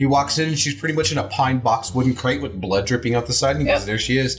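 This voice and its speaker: A man talks at a very fast clip with lively intonation. Music plays in the background. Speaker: horror movie host. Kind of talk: casual movie discussion on a horror host show.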